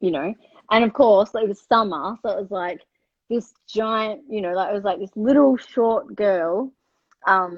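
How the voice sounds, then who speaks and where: A woman with an Australian accent speaks at a medium pitch. Her pace is fairly slow, with ordinary pitch variation. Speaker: livestream host. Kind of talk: casual chat. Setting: live video stream.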